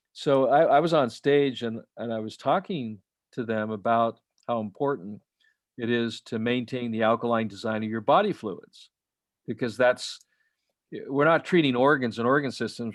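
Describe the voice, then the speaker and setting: With an American accent, a man talks in a medium pitch at a moderate pace. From Utah. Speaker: alternative health author. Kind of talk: interview conversation. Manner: halting, many fillers and restarts.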